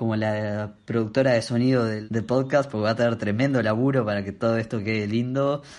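At a moderate pace with ordinary pitch variation, this is a normal speaking voice. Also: man. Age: 20s. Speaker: podcast co-host. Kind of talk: casual chat. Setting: video call.

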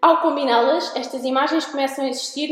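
At a fairly quick pace, a woman with a European Portuguese accent speaks in a high voice with ordinary pitch variation, amid noticeable background noise and audible room echo. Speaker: podcast host. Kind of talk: interview. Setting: art gallery.

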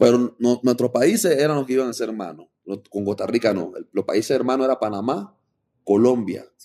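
A man's medium-pitched voice, dark and mellow in tone, with ordinary pitch variation at a moderate pace. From Panama. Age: 30s. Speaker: rapper. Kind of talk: casual interview.

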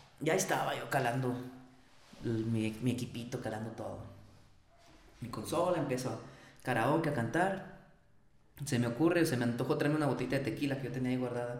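A man at a fairly quick pace and medium pitch, with ordinary pitch variation, long, frequent pauses, audible room echo and noticeable background noise. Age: 30s. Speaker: singer. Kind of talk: casual chat.

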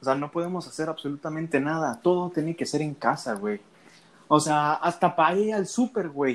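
A man talks in an ordinary speaking voice at a fairly high pitch and a fairly quick pace. His pitch varies in an ordinary way on a very clean recording with a silent background. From Mexico, Veracruz. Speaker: podcast co-host, student. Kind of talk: casual chat.

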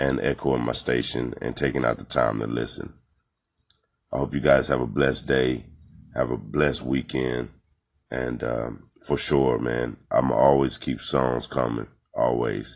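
At a moderate pace, a man talks in a very deep, low pitch with monotone, flat intonation. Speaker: independent rapper. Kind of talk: casual self-promotion monologue. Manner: halting, filler-heavy.

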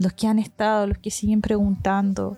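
A woman speaks in a flat monotone at a medium pitch. Her pace is moderate, and the sound is dry and close with no echo. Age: 30s. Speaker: missionary leader. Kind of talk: testimony.

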